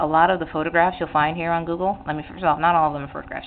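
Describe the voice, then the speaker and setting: Talking very fast at a very deep, low pitch, a woman is heard against noticeable background noise. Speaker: artist teaching drawing on own channel. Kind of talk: tutorial. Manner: hesitant, many fillers and restarts.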